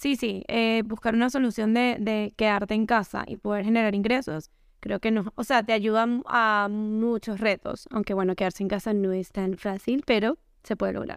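A normal speaking voice from a woman at fairly high pitch, moderate pace and fairly even intonation, on a very clean recording with a silent background. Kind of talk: casual chat.

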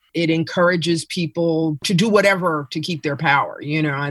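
A woman with an American accent speaks at a moderate pace with fairly even intonation and a fairly low pitch, in a plain, everyday voice. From New York City. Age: 50s. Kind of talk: casual chat.

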